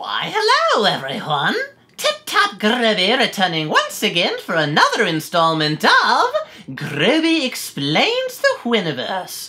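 A female-sounding voice, fairly high in pitch, at a fairly slow pace. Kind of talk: storybook narration. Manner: jovial, pompous, insistent.

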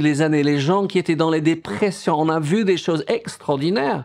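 Speaking with an English accent at a fairly slow pace, a man shows ordinary pitch variation against a quiet background. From England. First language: English (speaking French). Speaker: pastor. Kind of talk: sermon. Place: home room.

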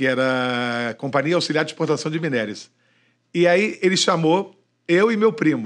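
Animated in tone, a man talks at a moderate pace and fairly high pitch with ordinary variation. The background is quiet. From Rio de Janeiro, Niterói. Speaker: radio broadcaster. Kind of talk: casual chat. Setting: studio. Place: studio. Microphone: studio mic.

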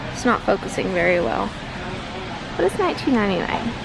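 Dry sound without echo, with noticeable background noise. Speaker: vlogger. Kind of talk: casual vlog chat. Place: shop. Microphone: phone near.

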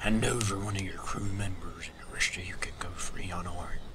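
Whispering in a put-on character voice, a man talks at a fairly quick pace. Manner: threatening.

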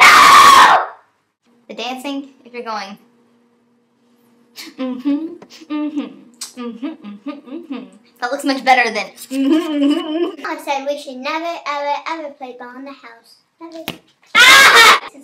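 A loud, high-pitched cartoonish character voice shouts at a fairly slow pace, broken by long, frequent pauses. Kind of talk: puppet skit vlog. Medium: puppet. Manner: loud, yelling.

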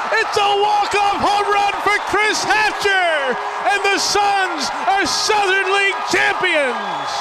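A man talks at a very slow pace with hardly any pauses. Loud background noise fills the recording. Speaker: baseball play-by-play announcer. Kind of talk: live sports play-by-play commentary. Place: stadium. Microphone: headset.

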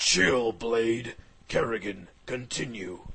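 Using a put-on character voice at a medium pitch, a man speaks at a very slow pace. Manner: laid-back, calm.

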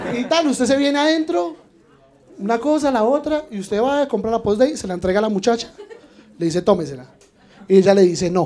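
Light background noise sits behind a man's fairly quick pace. His pitch swings very widely, and he leaves long, frequent pauses. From Colombia. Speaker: stand-up comedian. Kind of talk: stand-up comedy. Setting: stage with audience. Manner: animated, punchy, irreverent delivery with crude slang and mock-outraged emphasis. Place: bar. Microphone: handheld.

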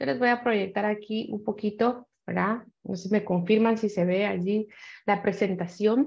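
A woman speaks at a fairly slow pace with fairly even intonation. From Guatemala. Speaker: panelist on cyber violence; panelist. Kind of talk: panel discussion. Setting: video call. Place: home room. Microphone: webcam.

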